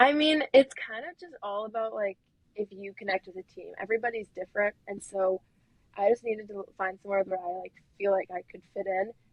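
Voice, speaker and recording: A woman talks at a fairly quick pace with a Wisconsin accent. Her loudness swings widely. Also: medium pitch for a woman, ordinary pitch variation. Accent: Wisconsin accent, noticeable vowels. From Wisconsin, US. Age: young. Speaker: student athlete. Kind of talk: podcast interview. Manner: casual, many fillers like 'like'.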